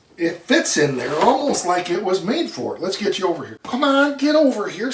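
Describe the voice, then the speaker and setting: Over noticeable background noise, a man with an American accent speaks with very wide pitch swings. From US Midwest, northern Michigan. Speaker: car restorer, channel host. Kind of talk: casual chat, unboxing. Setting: workshop in a barn. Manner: casual, with frequent 'uh' fillers.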